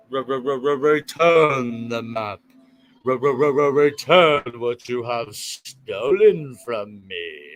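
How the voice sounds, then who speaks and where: Putting on a character voice at a medium pitch, a man speaks at a very slow pace with ordinary pitch variation and big swings in loudness, while faint music plays in the background. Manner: soothing.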